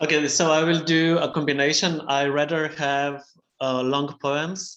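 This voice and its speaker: Someone with a Slovene accent speaks at a fairly slow pace. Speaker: poet. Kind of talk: poetry reading.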